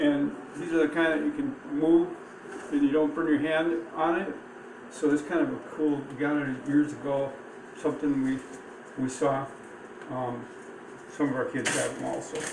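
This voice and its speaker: A man talks at a moderate pace with monotone, flat intonation and long, frequent pauses. Noticeable background noise runs underneath. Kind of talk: tutorial. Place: kitchen. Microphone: phone near.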